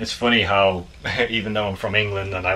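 The voice belongs to a man and sits at a fairly low pitch. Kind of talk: casual vlog chat. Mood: reflective, a little emotional. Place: home room. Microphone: phone near.

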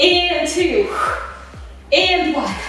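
Strong room echo surrounds the voice, with faint music in the background. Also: woman. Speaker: fitness instructor. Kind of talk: workout class instruction. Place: studio.

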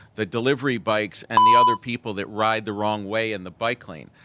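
In a very clean recording with a silent background, a man with a New York accent talks at a fairly quick pace in a bright, sharp tone at medium pitch. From New York City, Manhattan. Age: 50s. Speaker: member of the public. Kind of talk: public comment testimony.

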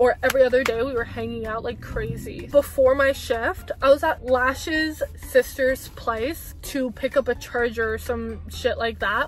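Over faint background music, a woman speaks in an animated tone at a fairly slow pace with hardly any pauses. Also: dry sound with no echo. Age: 20s. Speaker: vlogger. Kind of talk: casual storytime talk to camera. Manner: chatty, animated. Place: car. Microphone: phone near.

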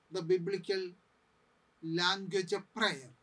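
A raised, projected voice with a bright, sharp tone comes at a fairly slow pace. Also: man. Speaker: priest bible teacher. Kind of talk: lecture. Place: studio.

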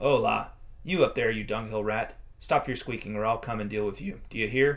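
A man's growling, put-on character voice at a medium pitch and a fairly quick pace, in a very clean recording with a silent background. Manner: snarling, threatening.

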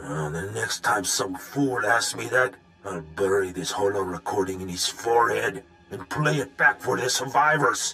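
A raspy male voice at a fairly slow pace with lively intonation. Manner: bitter, ranting.

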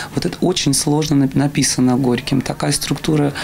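With light background noise, a woman talks at a moderate pace with a very deep, low pitch and monotone, flat intonation. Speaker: theater actress. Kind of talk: interview answer. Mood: thoughtful, reflective.

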